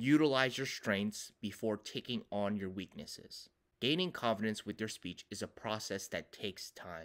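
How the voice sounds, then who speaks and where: A man talks at a moderate pace with hardly any pauses. His pitch is fairly low, with ordinary variation. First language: not English (grew up as ESL learner). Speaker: communication professor and public speaking coach. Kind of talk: tutorial.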